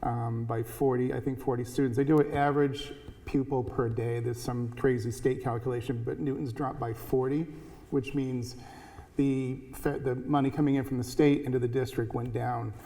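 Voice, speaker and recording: Audible room echo surrounds a man at a medium pitch. He talks at a moderate pace with monotone, flat intonation. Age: 60s. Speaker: school board member. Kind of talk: candidate forum remarks. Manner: halting.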